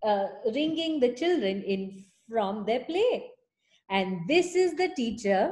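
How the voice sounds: Someone reads in a natural reading voice over a quiet background.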